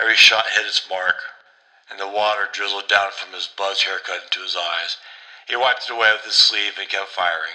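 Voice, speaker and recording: A man talks at a fairly quick clip, his loudness swinging widely, with noticeable noise behind him. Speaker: horror story narrator. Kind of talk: read horror story.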